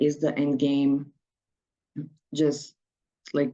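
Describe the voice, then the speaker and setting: A woman's very deep, low voice in a dark, mellow tone, with a non-native accent and a very slow pace. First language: not English. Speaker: activist and researcher. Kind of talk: conference presentation. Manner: halting, with frequent repetitions.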